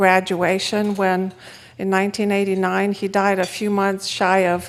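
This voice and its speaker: Monotone, flat delivery at a fairly slow pace, with a Romanian accent. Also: woman. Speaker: economist speaker. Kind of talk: conference talk.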